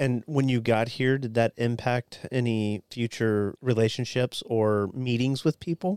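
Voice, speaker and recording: A normal speaking voice from a man, medium in pitch, at a fairly slow pace with hardly any pauses and ordinary pitch variation, in a dry, close sound with no echo. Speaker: podcast co-host, military veteran. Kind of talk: casual discussion podcast.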